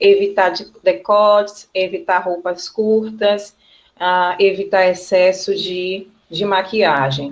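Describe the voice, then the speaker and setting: At a very slow pace, a woman speaks with medium pitch and fairly even intonation. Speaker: teacher. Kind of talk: online class lecture. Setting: video call.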